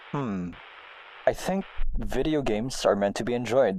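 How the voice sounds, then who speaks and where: A man talks at a fairly slow pace. Noticeable background noise runs beneath him. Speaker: gaming blogger. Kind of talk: reading aloud.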